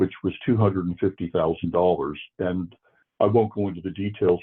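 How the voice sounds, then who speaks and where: Very deep and low, a man's voice carries an American accent. His intonation is fairly even, and he moves at a fairly quick pace. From US Northeast, Worcester, Massachusetts. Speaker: forensic psychiatrist. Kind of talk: interview.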